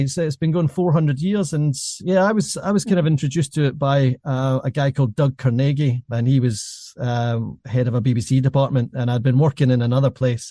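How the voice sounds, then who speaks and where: A fairly high-pitched man's voice, somewhat breathy with a dark, mellow tone, at a fairly quick pace with hardly any pauses, very even loudness and ordinary pitch variation, in a dry, close sound with no echo. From Scotland. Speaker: podcast host, former journalist. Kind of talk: interview conversation.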